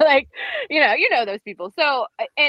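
A woman with an American accent, an ordinary speaking voice, lively intonation and a moderate pace. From Northern Virginia, US. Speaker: podcast co-host. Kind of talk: casual chat. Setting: remote call from road trip.

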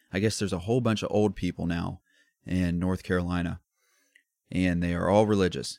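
Over a very clean recording with a silent background, a man with an American accent speaks at a fairly quick pace, his voice very deep and low, his intonation fairly even. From US Midwest, Columbus, Ohio. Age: 20s. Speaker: podcast host. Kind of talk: casual solo rant. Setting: recording away from home while traveling.

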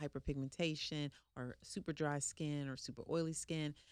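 On a very clean recording with a silent background, a woman speaks at a very deep, low pitch with fairly even intonation. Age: 40s. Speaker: spa owner. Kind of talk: interview.

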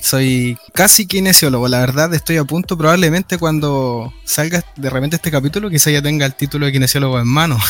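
Using a normal speaking voice, a man talks at a moderate pace in a medium pitch with ordinary pitch variation. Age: 20s. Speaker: physiotherapy student. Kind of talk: podcast interview.

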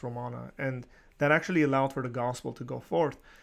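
Recorded very cleanly against a silent background, a man in an ordinary speaking voice talks at a fairly quick pace, medium in pitch with fairly even intonation. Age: 30s. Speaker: podcast host. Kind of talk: friendly interview.

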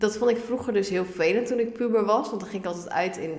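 With audible room echo and noticeable background noise, a woman speaks at a fairly high pitch. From Netherlands, Ermelo (Gelderland). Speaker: young first-time home seeker, party candidate. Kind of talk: podcast interview. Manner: animated, informal.

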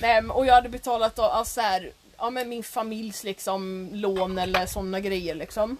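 Over noticeable background noise, a woman talks at a moderate pace with fairly high pitch and fairly even intonation. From Sweden. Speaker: podcast co-host. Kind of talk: casual chat.

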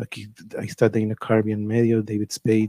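In a dry, close sound with no echo, a man with a dark, mellow tone speaks at a fairly slow pace. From Tijuana, Mexico. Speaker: livestream show host and musician. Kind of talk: casual live-streamed chat. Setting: live stream. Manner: informal, rambling, with filler words.

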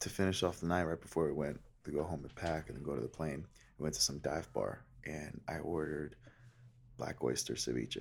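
Whispering quietly with vocal fry, a man talks at a fairly quick pace. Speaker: podcast co-host. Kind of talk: casual chat. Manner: quiet, almost whispering.

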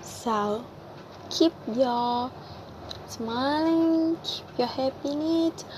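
A woman speaks at a very slow pace in a high pitch, with long, frequent pauses. Noticeable background noise runs underneath. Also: ordinary pitch variation. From Vietnam. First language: Vietnamese. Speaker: podcaster and cafe worker. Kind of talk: personal monologue. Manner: halting, many fillers.

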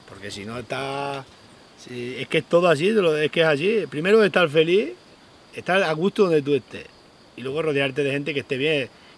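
A man with a normal speaking voice and a fairly high pitch talks at a moderate pace, his intonation lively and his loudness swinging widely. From Spain, Extremadura (Sierra de Gata). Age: 40s. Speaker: goatherd and social media creator. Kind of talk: interview. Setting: outdoors.

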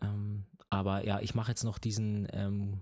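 A man speaks in a fairly low voice with a dark, mellow tone and a somewhat breathy quality. The recording is very clean, with a silent background. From Bavaria. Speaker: triathlon podcast co-host. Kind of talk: casual chat.

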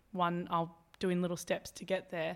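In a very clean recording with a silent background, a woman speaks with an Australian accent. Her fairly low voice keeps a moderate pace. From Albury, New South Wales, Australia. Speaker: veterinary nurse and personal trainer. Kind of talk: casual interview. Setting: indoor room by the beach. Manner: animated.

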